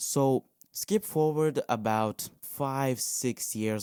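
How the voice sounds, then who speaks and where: Recorded very cleanly with a silent background and a dry, close sound with no echo, a man with a non-native accent speaks at a medium pitch in a dark, mellow tone. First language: not English. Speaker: podcast host. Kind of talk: casual monologue. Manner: halting.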